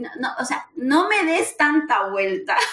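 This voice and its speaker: Noticeable background noise runs under this clip. A woman speaks at a very slow pace. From Peru. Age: 40s. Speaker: recruiter and career mentor. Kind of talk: casual interview.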